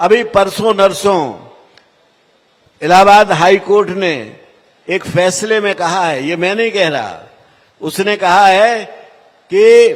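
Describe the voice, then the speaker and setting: High pitch from a man, ordinary pitch variation, and long, frequent pauses. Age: 80s+. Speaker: politician. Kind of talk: political speech.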